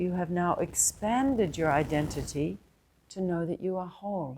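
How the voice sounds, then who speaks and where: With a New Zealand accent, a woman of medium pitch speaks at a fairly slow pace in a dark, mellow tone with lively intonation. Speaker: spiritual teacher. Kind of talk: satsang talk.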